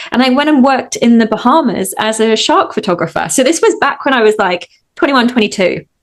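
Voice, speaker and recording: A woman speaks at a very fast pace with a slight Australian accent, barely pausing at all. Her high voice swings very widely in pitch while her loudness stays very even. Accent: English with a slight Australian twang. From England. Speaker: hypnotist. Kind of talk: interview.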